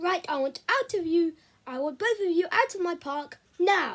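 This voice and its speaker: A woman performs a squeaky put-on character voice at an extremely high pitch. Her pace is moderate and her intonation lively. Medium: read story. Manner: pompous, barking, military.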